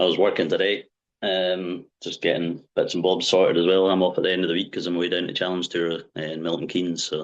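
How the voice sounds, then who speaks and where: A man with a Scottish accent talks at a very fast pace. His very deep, low voice has monotone, flat intonation. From Wick, far north of Scotland. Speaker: darts player. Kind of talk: podcast interview answer.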